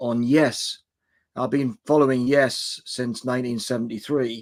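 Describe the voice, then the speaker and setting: On a very clean recording with a silent background, a man with an ordinary speaking voice talks at a moderate pace. His pitch is medium and his intonation fairly even. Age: 60s. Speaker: music channel creator. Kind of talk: casual chat.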